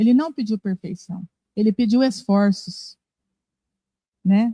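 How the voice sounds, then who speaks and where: A woman's dark, mellow tone at a fairly slow pace, with a dry, close sound with no echo. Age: 60s. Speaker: spiritist lecturer. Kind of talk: religious talk. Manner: conversational.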